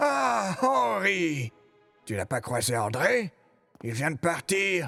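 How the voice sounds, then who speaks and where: A man uses a put-on character voice at a medium pitch and a very slow pace, with faint music in the background. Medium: dub. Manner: brusque, headstrong.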